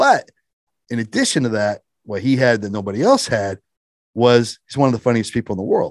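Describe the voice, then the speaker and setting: A man with a Midwestern American accent talks at a fairly quick pace and medium pitch, leaving long, frequent pauses. His intonation is fairly even, and the sound is dry and close with no echo against a quiet background. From small-town Indiana. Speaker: former state police detective turned stand-up comedian. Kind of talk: interview.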